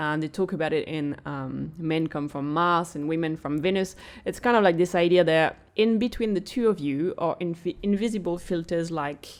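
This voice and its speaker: Speaking at a moderate pace with a French accent, a woman has a fairly low pitch and ordinary pitch variation in a very clean recording with a silent background. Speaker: podcast co-host. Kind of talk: casual chat.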